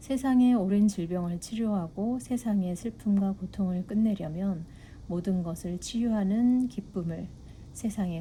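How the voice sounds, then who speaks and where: Dark, mellow tone, somewhat breathy, fairly slow pace and ordinary pitch variation. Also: woman. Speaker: book reader. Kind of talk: reading aloud.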